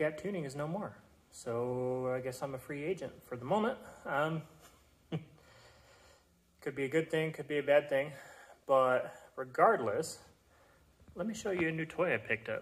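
A man at a moderate pace, with long, frequent pauses and ordinary pitch variation. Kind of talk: casual vlog chat. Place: workshop. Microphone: phone near.

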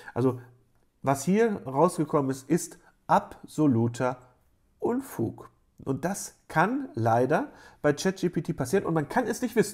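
Against a quiet background, a man talks at a fairly slow pace. His fairly high voice makes very wide pitch swings. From Germany, Rheda-Wiedenbrück (Westphalia); Germany. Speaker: university lecturer. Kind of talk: lecture. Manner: casual with frequent fillers. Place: home room. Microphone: webcam.

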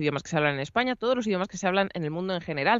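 A woman talks at a very fast pace with lively intonation. The sound is dry with no echo against a quiet background. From Spain, Madrid region. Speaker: voice actress and announcer; voice actress guest. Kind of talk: interview. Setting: video call. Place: home room. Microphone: studio mic.

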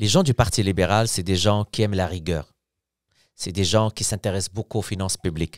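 A man's fairly low voice at a moderate pace, dry with no echo, over a quiet background. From Morocco. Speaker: opposition member of parliament; politician guest. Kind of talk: casual interview. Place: studio. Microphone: studio mic.

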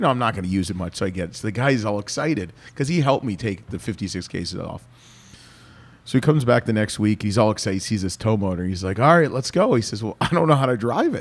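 Speaking at a very fast pace, a man has a fairly low pitch and an animated tone. His intonation is lively. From Canada. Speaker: podcast host. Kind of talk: casual chat. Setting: winery. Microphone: studio mic.

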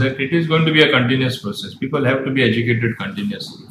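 A man's speech comes with noticeable noise behind it. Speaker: state minister. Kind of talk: interview answer. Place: office.

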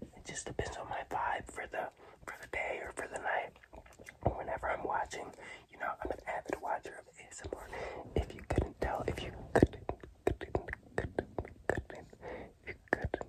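Whispering at a moderate pace, the voice swings widely in loudness, with long, frequent pauses over noticeable background noise. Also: man. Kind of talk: ASMR whispered talk to camera. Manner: soft, relaxed.

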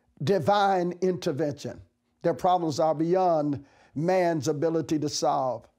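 The voice has a dark, mellow tone and very even loudness, moving at a very slow pace with ordinary pitch variation. The background is quiet. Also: man. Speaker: bishop. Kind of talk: sermon, devotional message to camera; fervent prayer, petitioning aloud to God. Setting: office, recorded video message. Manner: earnest, encouraging, preacherly; impassioned, rising fervent pleading tone. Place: studio. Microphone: lapel.

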